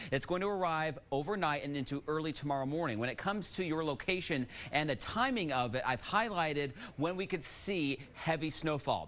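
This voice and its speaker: A normal speaking voice from a man, fairly high in pitch, fairly quick, with ordinary pitch variation. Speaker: meteorologist. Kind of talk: TV weather forecast.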